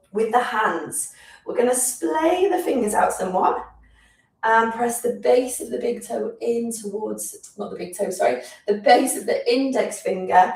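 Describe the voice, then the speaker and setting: A woman with a British accent talks at a fairly slow pace, her loudness swinging widely, with audible room echo. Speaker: physiotherapist leading exercise class. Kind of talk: guided exercise class. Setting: live stream.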